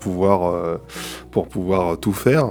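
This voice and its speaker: The speaker goes at a very slow pace. Background noise is noticeable throughout. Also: man. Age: 30s. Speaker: composer and sound engineer. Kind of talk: casual chat about a video game. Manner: halting, many repetitions and fillers.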